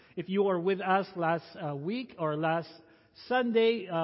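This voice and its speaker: A man with a high-pitched voice. He talks at a moderate pace. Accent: Filipino. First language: Tagalog. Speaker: pastor. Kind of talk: sermon.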